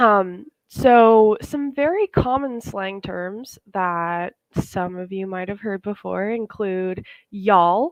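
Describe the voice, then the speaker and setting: In a Southern US accent, a woman speaks very slowly at a medium pitch with ordinary variation. Her loudness swings a lot from moment to moment. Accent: Southern American English. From US South. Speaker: English teacher. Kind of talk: online webinar lesson. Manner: casual with frequent fillers.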